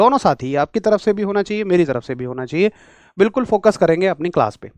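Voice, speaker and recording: Over a quiet background, a man speaks at a moderate pace with lively intonation, the sound dry and close with no echo. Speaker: physics teacher for railway exams. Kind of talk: online lecture. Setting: live class streamed on an app. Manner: energetic, enthusiastic.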